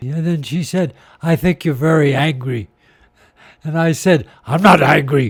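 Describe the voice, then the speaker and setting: A man speaks at a fairly slow pace in a fairly high pitch. His voice is somewhat breathy, with long, frequent pauses. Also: ordinary pitch variation. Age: 80s+. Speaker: sculptor and former priest. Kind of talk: interview storytelling.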